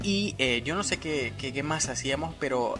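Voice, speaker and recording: Over clear background music, a playful voice moves at a fairly slow pace with lively intonation. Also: man. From El Salvador. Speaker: YouTuber. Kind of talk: casual talk to camera. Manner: humorous, playful. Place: home room. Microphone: phone near.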